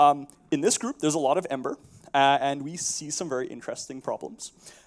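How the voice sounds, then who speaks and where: Here a man talks at a fairly quick pace with a Canadian accent. His pitch is fairly high. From Canada (prairies). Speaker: software architect and conference speaker. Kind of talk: conference talk. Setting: stage with audience. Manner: casual with frequent fillers.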